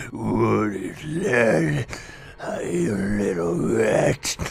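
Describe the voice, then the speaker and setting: A man puts on a raspy character voice, with light background noise behind him. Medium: voice reel. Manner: menacing, taunting.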